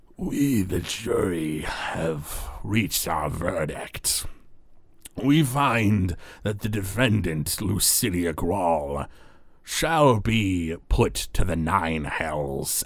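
A man does a put-on character voice, raspy and very deep in pitch. He speaks at a very slow pace in a very clean recording with a silent background. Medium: actual play.

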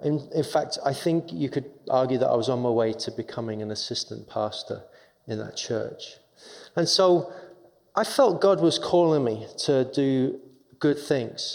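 A man with an English accent and a fairly high pitch speaks at a fairly slow pace with lively intonation. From England, London. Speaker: chaplain. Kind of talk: testimony.

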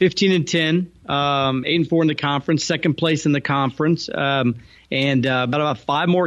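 The man has a normal speaking voice, pitched fairly high, with fairly even intonation. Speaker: sports broadcaster and co-host. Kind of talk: casual sports chat.

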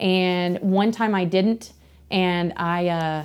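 A woman speaks in a normal speaking voice at a medium pitch with fairly even intonation. The recording is very clean with a silent background. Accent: American. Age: 30s. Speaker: motorcycle shop worker. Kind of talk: casual chat. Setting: in person.

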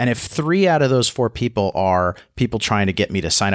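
Recorded dry and close with no echo, a man with a fairly low, unremarkable speaking voice talks fairly quickly with lively intonation. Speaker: podcast co-host. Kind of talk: casual chat. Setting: studio.

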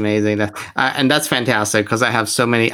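A man's fairly low voice at a very fast pace. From Iran. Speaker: nurse and podcast host. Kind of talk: interview. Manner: halting, many fillers.

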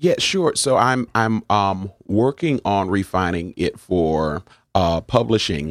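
A man with an American accent speaks at a fairly low pitch and a very slow pace, his intonation lively. The recording is very clean, dry and close, with no echo and a silent background. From New Haven, Connecticut. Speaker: pastor. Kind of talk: interview.

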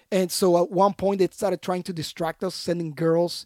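A man with a Puerto Rican accent and a high pitch speaks at a moderate pace in a monotone, flat intonation, his tone dark and mellow and the sound dry and close with no echo. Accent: Puerto Rican Spanish accent, rolled R's. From Puerto Rico. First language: Spanish. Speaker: Special Forces veteran, anti-trafficking founder. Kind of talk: casual interview.

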